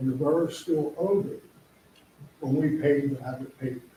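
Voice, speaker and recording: With audible room echo, a man talks at a moderate pace in a fairly high pitch, his voice somewhat breathy. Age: 80s+. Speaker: business owner speaking at public hearing. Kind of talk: public comment at council meeting. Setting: council meeting room. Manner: halting.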